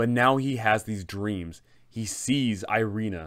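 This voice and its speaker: The man speaks at a very slow pace with ordinary pitch variation over a quiet background. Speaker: tabletop game content creator. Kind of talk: storytelling commentary. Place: home room.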